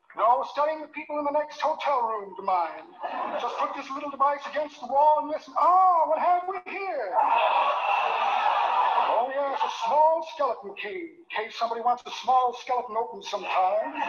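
A put-on character voice, high-pitched and drawling, moves at a moderate pace. Light background noise sits behind it. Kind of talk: 1940s radio comedy. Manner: pompous, florid, sly.

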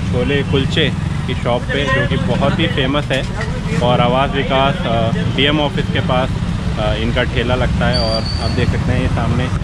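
A man at a fairly slow pace, with long, frequent pauses over loud background noise. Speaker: food vlogger. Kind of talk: casual vlog chat. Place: street. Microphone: phone near.

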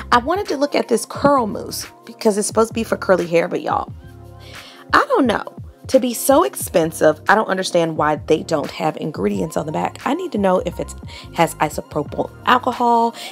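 The pace of this woman's speech is fairly quick. Soft music can be heard faintly behind her. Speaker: beauty vlogger. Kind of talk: casual vlog chat. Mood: excited, opinionated. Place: shop. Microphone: phone near.

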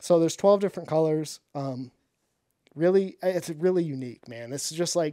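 The voice has a dark, mellow tone with ordinary pitch variation. The background is quiet. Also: man, fairly high pitch for a man, moderate pace, big swings in loudness, dry sound with no echo. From Michigan, mid Michigan. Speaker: professional bass angler and fishing YouTuber; podcast guest. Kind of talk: casual interview chat. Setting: studio. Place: studio. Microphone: studio mic.

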